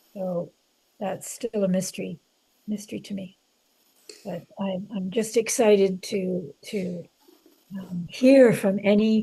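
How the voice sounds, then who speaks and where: At a very slow pace with long, frequent pauses, a woman speaks at a medium pitch in a somewhat breathy, dark, mellow tone, her intonation fairly even and her loudness swinging widely. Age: 70s. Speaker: author. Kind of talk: interview conversation. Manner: halting, many fillers.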